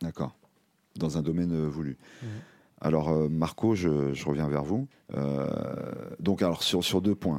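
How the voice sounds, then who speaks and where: This man has a very deep, low pitch and a dark, mellow tone. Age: older than guests. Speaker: radio workshop host. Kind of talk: hosted discussion. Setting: studio. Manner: halting, many repetitions.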